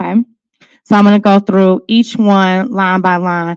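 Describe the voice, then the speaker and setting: A woman with an unremarkable speaking voice talks at a moderate pace in a medium pitch, with fairly even intonation and a dry, close sound with no echo. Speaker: school principal. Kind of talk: public meeting presentation. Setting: council meeting. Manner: frequent filler words.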